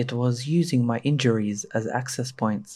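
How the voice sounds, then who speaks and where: The recording is very clean, with a silent background. A man with a dark, mellow, somewhat breathy tone speaks at a fairly slow pace with fairly even intonation. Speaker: horror story narrator. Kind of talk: horror story narration.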